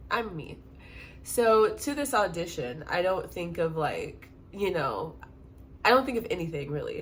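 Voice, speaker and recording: A woman speaks in an animated tone at a fairly slow pace, with long, frequent pauses. Audible room echo surrounds her voice. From US Midwest, St. Louis, Missouri. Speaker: exotic dancer, storyteller vlogger. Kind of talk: storytime monologue. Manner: animated, casual.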